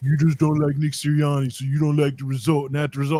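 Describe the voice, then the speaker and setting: Putting on a character voice, a man sounds gruff and grumpy at a fairly high pitch, rattling along at a very fast pace in a monotone, flat intonation. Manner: grumpy, gruff.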